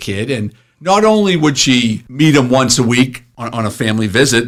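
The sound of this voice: This man's pitch is medium, his intonation lively. He moves at a moderate pace.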